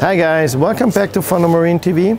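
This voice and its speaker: A man with a German accent speaks in a high voice, the sound dry with no echo over light background noise. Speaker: company owner presenting own aquarium products. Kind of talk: product presentation video. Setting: trade show. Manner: halting, with fillers and restarts. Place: hall. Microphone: lapel.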